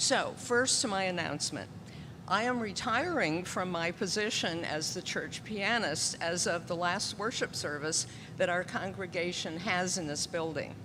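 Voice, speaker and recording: Speech comes at a moderate pace with ordinary pitch variation. Some room echo can be heard. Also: woman, medium pitch for a woman. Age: 70s. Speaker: church pianist. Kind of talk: children's story time and announcement in church service. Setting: church.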